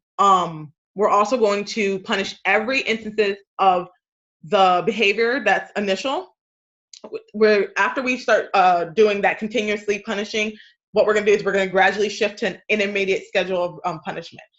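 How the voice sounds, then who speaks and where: Her pace fairly quick, a woman speaks at a medium pitch with fairly even intonation. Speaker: study group presenter. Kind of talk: study group lecture. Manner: hesitant with many fillers.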